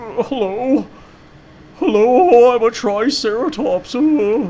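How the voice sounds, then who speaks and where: This is a put-on character voice that sounds female, with high pitch. It speaks at a very slow pace. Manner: goofy.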